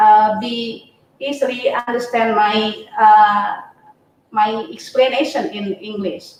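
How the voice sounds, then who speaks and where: There is audible room echo around a woman speaking with an Indonesian accent. Her pitch varies in an ordinary way. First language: not English. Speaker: university lecturer. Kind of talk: webinar talk. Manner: halting, many fillers.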